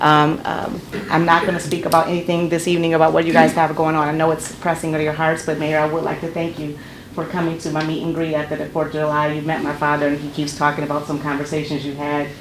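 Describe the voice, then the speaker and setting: A woman with an American accent talks very fast in a very deep, low, monotone, flat voice. Audible room echo and noticeable background noise surround her. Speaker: public defender and judicial candidate. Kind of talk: public comment at council meeting. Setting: city council meeting. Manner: loud.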